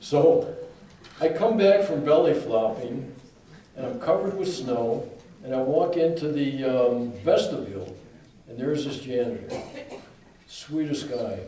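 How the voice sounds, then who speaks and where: A man with a fairly high voice talks at a fairly slow pace, his pitch swinging very widely and his loudness shifting a lot. Long pauses come often, over audible room echo and noticeable background noise. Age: 70s. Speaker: author and speaker. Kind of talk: talk with Q&A.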